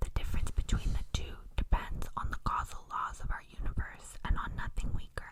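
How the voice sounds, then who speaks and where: At a moderate pace, the speaker whispers. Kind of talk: whispered ASMR reading of academic text. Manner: soft-spoken, whispered.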